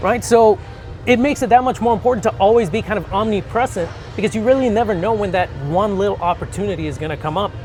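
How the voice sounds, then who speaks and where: A man talks at a very fast pace in a high voice, with ordinary pitch variation. Music plays in the background. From Mexico, Mazatlán. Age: 30s. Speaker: bodybuilder and mortgage lender. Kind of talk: casual interview. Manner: some stammering, self-correcting.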